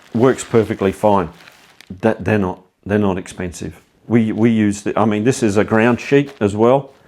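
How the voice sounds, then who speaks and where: In a normal speaking voice, a man talks at a moderate pace and fairly low pitch with fairly even intonation. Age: 60s. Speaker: cycling vlogger. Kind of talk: tutorial. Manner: casual, conversational with fillers.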